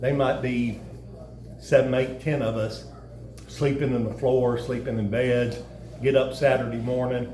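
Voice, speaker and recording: Long, frequent pauses and a flat monotone at a fairly slow pace, in a Kentucky accent, with audible room echo and noticeable background noise. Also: man, medium pitch for a man. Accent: southern US, Kentucky. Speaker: former high school football player. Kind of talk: casual interview.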